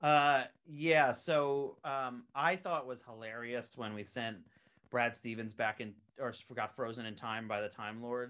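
A man with an American accent, medium in pitch with ordinary variation, his tone bright and sharp, his pace fairly slow, over a quiet background. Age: 30s. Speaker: animation creator and writer. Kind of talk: casual chat.

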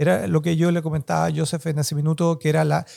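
This man's voice sits fairly high in pitch and carries a dark, mellow tone. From Chile. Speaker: academic and author. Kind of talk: interview.

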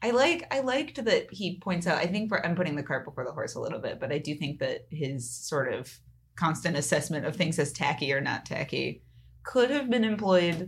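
In an American accent, a woman with a fairly low, somewhat breathy voice speaks at a fairly quick pace with very wide pitch swings. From California. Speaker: podcast co-host. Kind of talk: casual chat.

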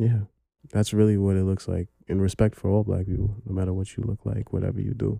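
Dry and close with no echo, the speech comes at a fairly quick pace in a New York accent, flat and monotone with a dark, mellow tone and long, frequent pauses. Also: man. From Brooklyn, New York. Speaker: historian. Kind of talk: casual chat.

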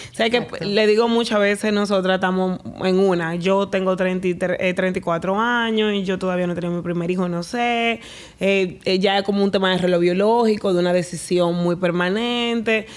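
A woman speaks at a moderate pace in a medium pitch, with a plain, everyday voice. Her intonation is fairly even. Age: 30s. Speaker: podcast host. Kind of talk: casual interview.

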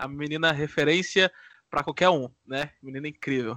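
With a Minas Gerais accent, a man talks at a very fast pace in a bright, sharp tone with ordinary pitch variation, the sound dry and close with no echo against a quiet background. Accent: mineiro Brazilian Portuguese. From Divinópolis, Minas Gerais, Brazil. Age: 20s. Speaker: podcast co-host, law student. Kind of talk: casual chat.

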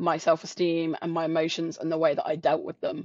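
A fairly quick delivery with a southern English accent. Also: woman. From south coast of England. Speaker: sales professional and coach. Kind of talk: interview.

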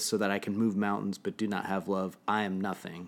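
At a moderate pace, a man with a fairly low pitch speaks in a monotone, flat intonation, recorded very cleanly against a silent background. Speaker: podcast host. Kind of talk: casual chat. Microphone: new mic.

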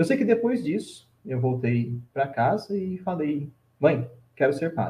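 A man at a fairly high pitch with very wide pitch swings, a dark, mellow tone, somewhat breathy, at a fairly slow pace. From Brazil, São Paulo state (Vale do Paraíba). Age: 20s. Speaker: Franciscan friar. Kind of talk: casual interview, life story.

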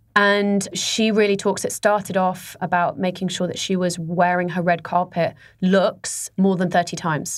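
A woman speaks in a monotone, flat way on a very clean recording with a silent background. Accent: British. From Dubai, UAE (English family). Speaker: fashion boutique founder. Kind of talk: interview.

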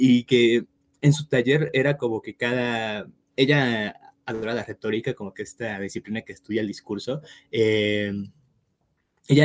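An ordinary speaking voice with fairly even intonation. The sound is dry and close, with no echo. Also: man. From Mexico. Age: 20s. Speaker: writer. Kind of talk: casual interview.

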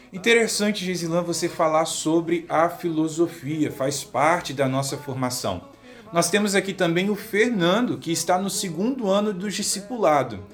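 A high-pitched male voice with ordinary pitch variation, music in the background. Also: moderate pace, hardly any pauses. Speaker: seminarian radio host. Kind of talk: radio program hosting.

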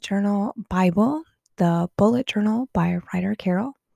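A woman speaks at a medium pitch with a dark, mellow tone. The recording is very clean and dry, close with no echo and a silent background. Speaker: podcast host. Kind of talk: casual podcast monologue.

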